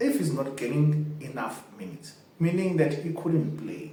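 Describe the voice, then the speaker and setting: Against noticeable background noise and audible room echo, a man with a non-native accent speaks at a fairly high pitch. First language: not English. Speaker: football fan channel host. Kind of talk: casual commentary to camera.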